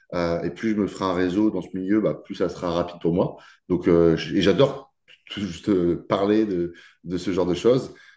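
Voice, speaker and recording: Against a quiet background, a man talks in a very deep, low pitch with a dark, mellow tone. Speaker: nutrition and weight-cut coach. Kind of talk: podcast interview. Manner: fast; hesitant, many fillers.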